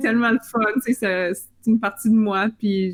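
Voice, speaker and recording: A woman with a Northern Ontario accent speaks at a fairly slow pace with fairly even intonation, recorded dry and close with no echo. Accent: Northern Ontario French-Canadian. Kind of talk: casual, conversational.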